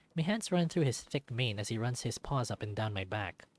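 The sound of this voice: With lively intonation, an unforced reading voice carries the passage.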